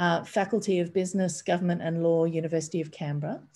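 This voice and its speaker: Dark, mellow tone from a woman with an Australian accent and fairly low pitch. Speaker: bookshop event host. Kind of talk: event introduction. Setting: video call. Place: home room. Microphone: webcam.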